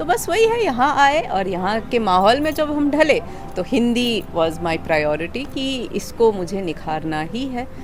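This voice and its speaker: A woman speaks at a fairly high pitch with very wide pitch swings. Audible room echo and noticeable background noise surround her voice. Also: hardly any pauses. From Sikkim, northeast India. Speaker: school teacher. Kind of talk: interview. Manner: conversational with fillers.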